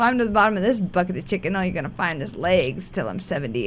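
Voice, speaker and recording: Woman with an American accent, fairly low pitch and vocal fry, at a fairly quick pace, in audible room echo. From rural US West, raised a cowboy. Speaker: former chef and stand-up comedian. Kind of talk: casual chat. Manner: animated.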